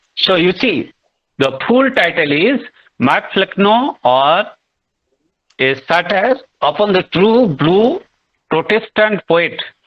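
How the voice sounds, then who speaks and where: A man with a high voice speaks at a very slow pace with long, frequent pauses, his pitch swinging very widely while his loudness stays very even. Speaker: literature teacher. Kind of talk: online lecture. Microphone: voice breaking from network issues.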